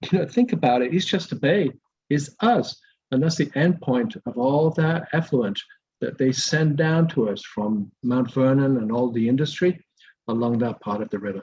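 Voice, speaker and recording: A man's fairly high, somewhat breathy voice with lively intonation at a moderate pace. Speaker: environmental advocate. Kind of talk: community presentation. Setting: video call. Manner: soft-spoken.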